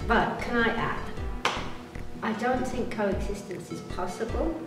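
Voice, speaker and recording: A woman at a moderate pace, with audible room echo and clear music in the background. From Britain. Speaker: tour guide and motivational speaker. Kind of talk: interview answer. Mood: earnest, serious. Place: home room.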